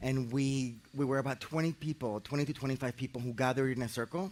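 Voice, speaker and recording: Noticeable background noise sits under a man talking with a Spanish accent. His pitch is medium with ordinary variation, and his pace is very fast with hardly any pauses. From Colombia, Medellin. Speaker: architect and facilitator. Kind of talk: guided meditation introduction talk. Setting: outdoors in a park. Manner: halting, repeats words.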